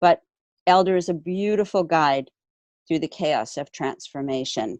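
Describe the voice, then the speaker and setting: A woman with a fairly low pitch and an unremarkable speaking voice talks at a moderate pace. The background is quiet, and the sound is dry and close with no echo. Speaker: herbalist keynote speaker. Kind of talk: keynote talk.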